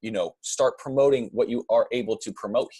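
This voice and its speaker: A very fast pace in a dry, close sound with no echo. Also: man. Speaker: online marketing coach. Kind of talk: screen-share tutorial. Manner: casual, many filler words.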